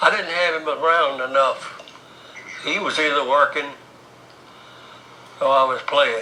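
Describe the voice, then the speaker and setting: Amid noticeable background noise and audible room echo, a man with a Southern US accent speaks at a fairly slow pace with long, frequent pauses. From US South, North Carolina. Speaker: oral history interviewee. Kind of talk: oral history interview. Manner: halting.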